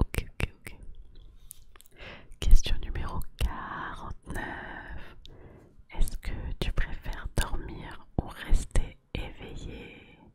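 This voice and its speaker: Very slow whispering with long, frequent pauses, over noticeable background noise. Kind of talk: ASMR whisper quiz addressed to the viewer. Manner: whispered, soft, relaxing.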